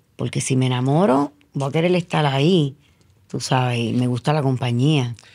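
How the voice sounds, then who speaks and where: The woman's pitch is very deep and low, with a dark, mellow tone. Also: ordinary pitch variation, moderate pace, quiet background. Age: 60s. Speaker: media personality; interview guest. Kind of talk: casual chat. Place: studio. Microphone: studio mic.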